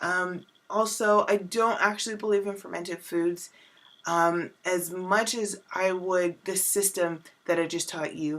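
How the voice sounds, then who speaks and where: Someone speaks at a fairly slow pace in an unremarkable speaking voice, on a very clean recording with a silent background. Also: woman, medium pitch for a woman, fairly even intonation. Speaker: wellness coach. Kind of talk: vlog tutorial.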